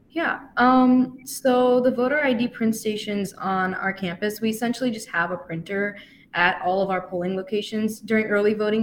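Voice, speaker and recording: With an American accent and a plain, everyday voice, a woman speaks at medium pitch and a moderate pace, with lively intonation and hardly any pauses. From US Midwest (Wisconsin). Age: young. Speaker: college student and voting-campaign intern. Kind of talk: radio interview.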